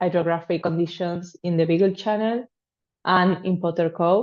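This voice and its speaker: Speaking with a Spanish accent, a woman keeps a fairly even intonation. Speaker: PhD student in oceanography. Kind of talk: class self-introduction. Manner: hesitant.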